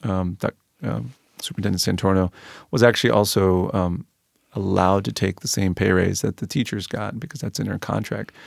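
Very deep and low, a man's voice with an American accent moves at a fairly quick pace with ordinary pitch variation and a dry, close sound with no echo. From Peru, then Maryland from age eight. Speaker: physician and school board member. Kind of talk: podcast interview. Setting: studio. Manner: halting, many fillers.

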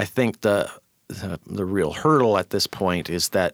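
Fairly low in pitch, a man with an unremarkable speaking voice talks at a fairly quick pace with an American accent, in a very clean recording with a silent background and a dry, close sound with no echo. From US Pacific Northwest (Auburn, Washington). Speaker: columnist and community arts advocate. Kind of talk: podcast interview.

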